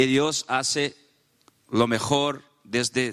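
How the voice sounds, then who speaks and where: A man of medium pitch speaks with a Portuguese accent. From Brazil. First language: Portuguese (speaking Spanish). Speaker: panelist at a faith and politics summit. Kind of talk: panel talk with live interpretation. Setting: conference panel. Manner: halting, with false starts.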